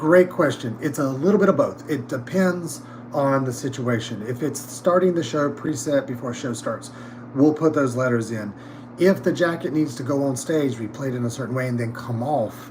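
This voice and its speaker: Through noticeable background noise and audible room echo, a man with an American accent talks at a moderate pace with ordinary pitch variation. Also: medium pitch for a man. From North Carolina, US South. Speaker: theatre props department head. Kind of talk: casual interview chat. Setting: livestream backstage. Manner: halting, many fillers.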